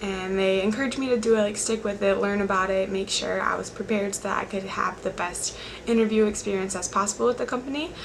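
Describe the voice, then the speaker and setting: A woman with an American accent speaks quietly and very fast, with hardly any pauses and fairly even intonation, amid audible room echo and noticeable background noise. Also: medium pitch for a woman. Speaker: college student speaker. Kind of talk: motivational talk.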